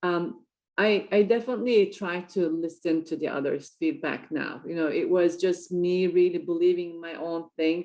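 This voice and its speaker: A woman's dark, mellow voice with a non-native accent, fairly low in pitch with ordinary pitch variation, moderate in pace with hardly any pauses and big swings in loudness, over a quiet background. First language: not English. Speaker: entrepreneur and triathlete. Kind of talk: interview. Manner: hesitant, many fillers.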